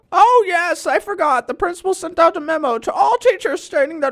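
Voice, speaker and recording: A woman's put-on character voice, extremely high in pitch, with very wide pitch swings and a fairly quick pace. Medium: comedy sketch. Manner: prim, patronizing.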